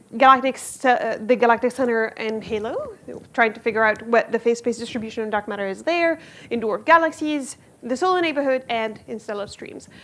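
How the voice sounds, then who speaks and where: Noticeable background noise sits behind a woman whose voice shows big swings in loudness. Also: fairly high pitch for a woman, ordinary pitch variation. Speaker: physics professor. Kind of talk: lecture. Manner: fast.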